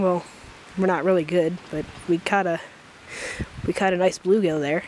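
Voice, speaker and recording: Here a woman speaks at a moderate pace. The sound is dry with no echo, with light background noise. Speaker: vlogger. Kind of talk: casual vlog chat. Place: open country. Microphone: phone near.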